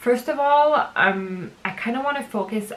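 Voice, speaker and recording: A woman speaks at a moderate pace with a French accent. Noticeable background noise runs underneath. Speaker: book vlogger. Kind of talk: casual vlog monologue. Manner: casual, hesitant with fillers.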